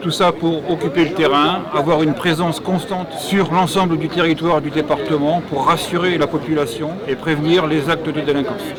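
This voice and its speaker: Fairly high-pitched male voice at a moderate pace with hardly any pauses and fairly even intonation, plus audible room echo and crowd noise in the background. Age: 60s. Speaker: gendarmerie reserve lieutenant-colonel. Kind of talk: promotional testimony. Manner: hesitant with fillers.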